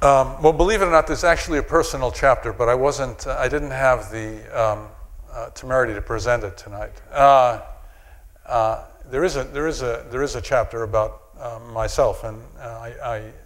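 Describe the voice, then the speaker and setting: There are big swings in loudness as a man with an American accent speaks amid audible room echo. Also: moderate pace. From New York. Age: 60s. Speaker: psychiatrist and anthropologist lecturer. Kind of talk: audience Q&A answer; lecture. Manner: halting.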